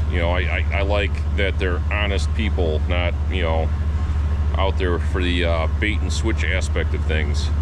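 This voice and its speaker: Fairly slow speech from a man over noticeable background noise. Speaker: van enthusiast vlogger. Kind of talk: casual vlog chat. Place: street. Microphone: phone near.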